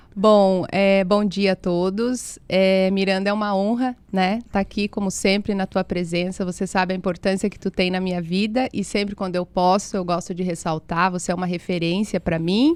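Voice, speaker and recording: On a very clean recording with a silent background, a woman talks at a moderate pace and medium pitch with fairly even intonation and hardly any pauses. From interior of Paraná, Brazil. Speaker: physiotherapist. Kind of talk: casual interview.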